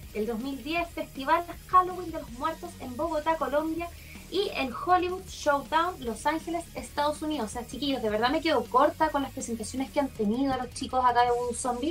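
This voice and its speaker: Over background music, a woman with a Chilean accent talks at a moderate pace in a high pitch with ordinary pitch variation. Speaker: podcast co-host. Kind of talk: casual chat.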